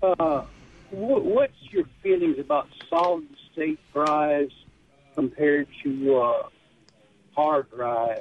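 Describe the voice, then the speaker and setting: With a Southern US accent, a man talks at a very slow pace, leaving long, frequent pauses. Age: 60s. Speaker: caller. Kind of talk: call-in radio show. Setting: phone call.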